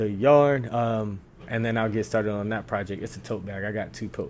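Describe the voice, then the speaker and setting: A man speaks at a fairly quick pace with a fairly low pitch. His intonation stays fairly even. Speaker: crochet content creator. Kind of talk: casual vlog monologue. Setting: at home on couch. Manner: fast.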